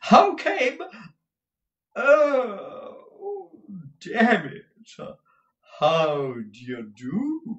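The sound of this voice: A man speaks very slowly in a put-on character voice, his extremely high pitch making big swings, with a fairly bright tone and audible room echo.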